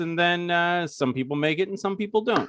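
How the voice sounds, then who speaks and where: On a very clean recording with a silent background, a man with an American accent speaks at a high pitch with ordinary pitch variation. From New York. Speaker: horror author. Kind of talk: casual interview.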